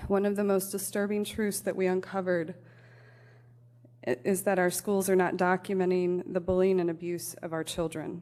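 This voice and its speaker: With a Midwestern American accent, a woman speaks at a moderate pace in a dark, mellow tone, her medium pitch held to fairly even intonation. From US Midwest, Elkhart, Indiana. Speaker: parent advocate, public commenter. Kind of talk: prepared public comment at council meeting. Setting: city council meeting.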